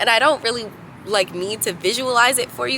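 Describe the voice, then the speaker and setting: Noticeable background noise under a woman's voice of ordinary pitch variation. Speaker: vlogger. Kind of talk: casual monologue to camera. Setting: outdoors on a roof. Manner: casual, filler-heavy.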